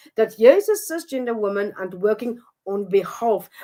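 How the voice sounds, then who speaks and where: On a very clean recording with a silent background, a woman with a non-native accent talks at a moderate pace in a fairly high voice. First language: not English. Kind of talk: interview. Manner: halting.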